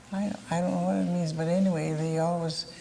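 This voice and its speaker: A woman's fairly low, somewhat breathy voice with a dark, mellow tone, monotone, flat intonation and an American accent. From southwest Michigan, Cass County. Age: 80s+. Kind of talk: oral history interview.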